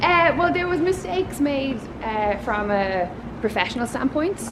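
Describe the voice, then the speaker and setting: With a strong Dublin accent, the speaker moves at a moderate pace through very wide pitch swings against noticeable background noise. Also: woman. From Ireland, Waterford. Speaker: podcast host and TV panelist. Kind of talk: casual interview. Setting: outdoors, walking in a city. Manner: emotive.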